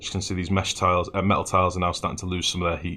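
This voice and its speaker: This man has a fairly low pitch and a bright, sharp tone, speaking very fast with a northern English accent. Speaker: video game streamer. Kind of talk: live gameplay commentary. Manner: casual, chatty.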